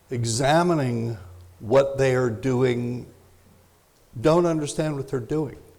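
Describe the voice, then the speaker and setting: Delivered at a very slow pace with long, frequent pauses, this voice shows ordinary pitch variation and audible room echo. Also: man, medium pitch for a man. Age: 70s. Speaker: parenting expert and speaker. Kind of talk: lecture.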